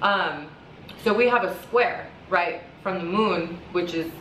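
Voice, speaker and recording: Against noticeable background noise and audible room echo, a woman talks with ordinary pitch variation. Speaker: astrologer and tarot reader. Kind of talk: casual monologue vlog. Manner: fast, rambling with fillers.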